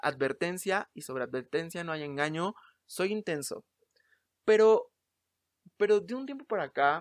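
A man's high-pitched voice at a fairly slow pace, with lively intonation, long, frequent pauses and a dry, close sound with no echo. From Mexico City. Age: 20s. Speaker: podcast host, actor and playwright. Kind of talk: casual solo monologue. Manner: halting, many repetitions.

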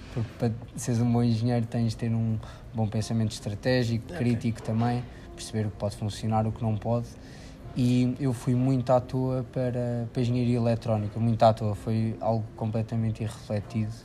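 A man speaks at a fairly quick pace in a medium pitch. His tone is dark, mellow and somewhat breathy, with monotone, flat intonation. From Portugal, Figueira da Foz. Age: 20s. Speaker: engineering student. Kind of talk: casual interview.

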